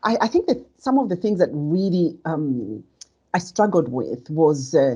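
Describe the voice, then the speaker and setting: A woman speaks loudly with a dark, mellow tone at a fairly low pitch. Her pitch swings very widely. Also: fairly slow pace. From Zambia. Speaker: leader and author. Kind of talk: conversation.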